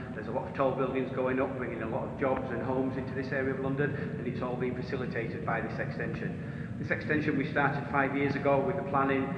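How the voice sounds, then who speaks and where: A very fast, monotone, flat delivery in a northern English accent, with noticeable background noise and audible room echo. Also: man, medium pitch for a man. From northern England. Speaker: tunnelling manager, engineer. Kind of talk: on-site interview. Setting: underground railway tunnel.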